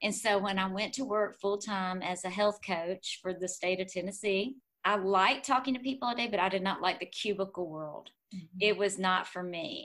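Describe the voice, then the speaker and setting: A woman with a normal speaking voice delivers her words at a moderate pace, her pitch varying in an ordinary way. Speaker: fitness professional and health coach. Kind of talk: faith testimony interview.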